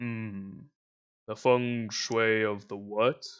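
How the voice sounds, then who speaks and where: Over a quiet background, a man puts on a booming, rumbling character voice at a medium pitch. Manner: slow, weighty, questioning.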